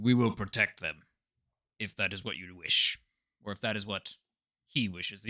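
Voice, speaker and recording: In a put-on character voice, a man speaks at a fairly low pitch and moderate pace with long, frequent pauses, recorded very cleanly against a silent background. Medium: actual play.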